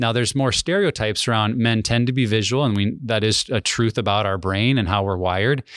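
A man with an American accent and a plain, everyday voice talks at a fairly quick pace with ordinary pitch variation over a quiet background. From US Mountain West (Wyoming, Montana). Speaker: ministry director and former pastor. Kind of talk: podcast interview, personal testimony.

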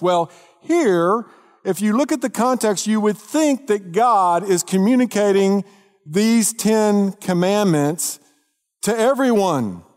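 A man's high-pitched voice with lively intonation, a fairly slow pace, and a dry, close sound with no echo. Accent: Texas. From Texas, North Dallas area. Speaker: pastor. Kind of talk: sermon.

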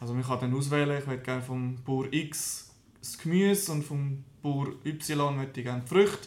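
Male speech pitched fairly high, moderate in tempo, with ordinary pitch variation and audible room echo. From Switzerland, canton of Lucerne. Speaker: small business founder. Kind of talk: interview. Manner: halting.

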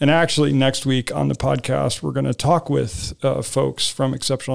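A man is speaking. His pace is moderate. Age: 50s. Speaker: school administrator and podcast host. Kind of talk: casual panel discussion.

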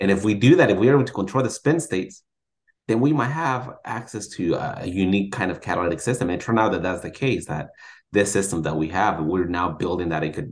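A man speaks in a normal speaking voice, fairly low in pitch, with lively intonation. His pace is fairly quick over a quiet background. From Mexico-born, raised in Sacramento, California. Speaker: chemistry professor. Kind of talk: interview.

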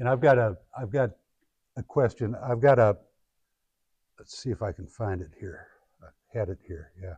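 A somewhat breathy man with an American accent, a medium pitch, ordinary pitch variation and a fairly quick pace. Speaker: guest speaker and founder. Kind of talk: guest lecture to a class. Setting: classroom with students. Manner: halting, conversational, with fillers.

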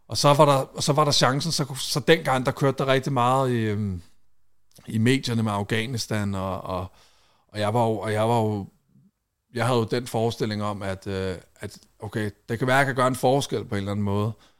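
A man of medium pitch speaks at a moderate pace with ordinary pitch variation and long, frequent pauses in a very clean recording with a silent background. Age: 30s. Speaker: reality TV personality and war veteran. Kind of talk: casual chat. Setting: studio.

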